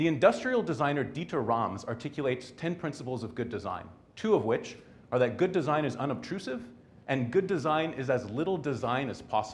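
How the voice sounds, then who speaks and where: A somewhat breathy male voice at medium pitch, fairly quick and with lively intonation, plus audible room echo. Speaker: technologist giving a short talk. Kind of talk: short conference talk. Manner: hesitant, many fillers.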